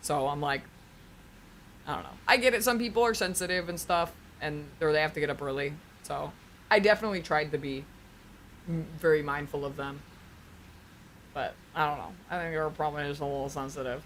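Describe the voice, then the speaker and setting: At a fairly quick pace, a woman with a very deep, low pitch talks in an animated tone with lively intonation, big swings in loudness, and long, frequent pauses. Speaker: streamer. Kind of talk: casual chat. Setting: home stream. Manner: loud, projecting.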